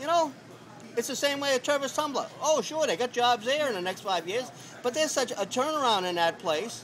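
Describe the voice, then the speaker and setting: A man speaks in an extremely high pitch with lively intonation and a fairly quick pace. Crowd noise sounds in the background. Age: 60s. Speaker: homeless man. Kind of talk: street interview. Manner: halting, many fillers and repeats.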